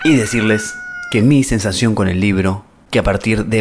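Against noticeable background noise, a man with a fairly low pitch speaks at a moderate pace and with fairly even intonation. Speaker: radio show host. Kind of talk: casual radio talk. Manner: halting.

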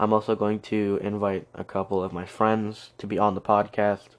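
The speech moves at a fairly slow pace with little pitch movement. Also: man.

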